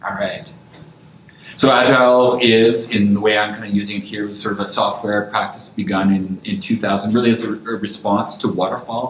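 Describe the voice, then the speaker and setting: Heard over noticeable background noise and audible room echo, a man speaks. He has a medium pitch and a Canadian accent. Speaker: design lead speaking at a meetup. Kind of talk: lecture. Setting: room with live audience. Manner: fast.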